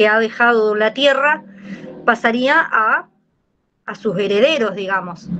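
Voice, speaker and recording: A woman with a fairly high voice talks very slowly, her pitch moving in an ordinary way. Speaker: course participant. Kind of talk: class discussion. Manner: colloquial.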